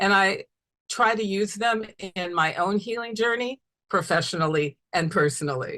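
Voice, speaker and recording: A woman speaks with a bright, sharp tone. Her pace is moderate and her pitch varies in an ordinary way. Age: 60s. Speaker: family therapist. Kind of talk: webinar lecture.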